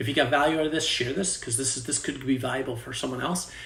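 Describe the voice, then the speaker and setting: Audible room echo carries a man's medium-pitched voice. He talks at a very fast pace with ordinary pitch variation. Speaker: fitness coach. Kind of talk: sales pitch; tutorial.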